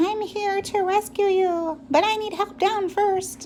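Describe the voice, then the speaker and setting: A squeaky, put-on character voice at an extremely high pitch comes through clear background noise. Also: fairly slow pace. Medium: read story. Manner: eager, breathless.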